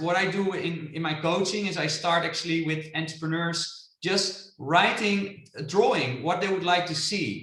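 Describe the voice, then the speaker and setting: A man with a Dutch accent, high pitch and ordinary pitch variation, in audible room echo. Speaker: international business coach. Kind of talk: webinar presentation. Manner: animated.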